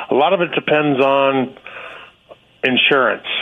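Noticeable background noise sits under a man's medium-pitched speech. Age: 60s. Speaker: state worker. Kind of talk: radio call-in.

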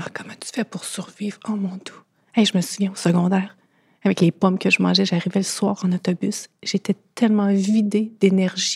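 With a Quebec accent, a somewhat breathy voice speaks in a monotone, flat intonation with big swings in loudness and long, frequent pauses, in a dry, close sound with no echo. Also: woman. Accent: Québécois French. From Quebec, Thetford Mines. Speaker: guest sharing eating disorder experience. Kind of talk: testimony.

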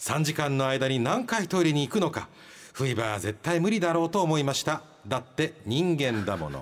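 Lively intonation colors the moderate-paced talk of a man with an unremarkable speaking voice. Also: fairly high pitch for a man. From Kyushu, Japan. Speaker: radio host. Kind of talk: casual radio banter reading listener mail. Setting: radio studio. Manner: joking, self-deprecating.

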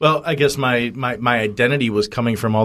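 On a very clean recording with a silent background, a man talks at a moderate pace. He has a plain, everyday voice with ordinary pitch variation. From United States. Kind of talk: interview testimony. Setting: radio studio.

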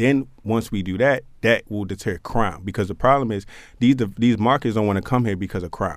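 A man talks at a very fast pace with ordinary pitch variation. The recording is very clean, with a silent background. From Baltimore, East Baltimore. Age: 20s. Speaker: mayoral candidate, small business owner. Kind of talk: radio interview.

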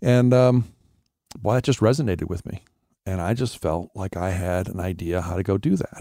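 In a dry, close recording with no echo, a man with an American accent and a very deep, low pitch speaks at a moderate pace with ordinary pitch variation. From Wisconsin, US Midwest. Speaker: nonprofit executive director. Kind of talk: casual interview testimony.

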